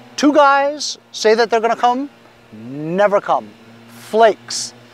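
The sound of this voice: Slowly, a man talks at a high pitch, his voice making big pitch swings.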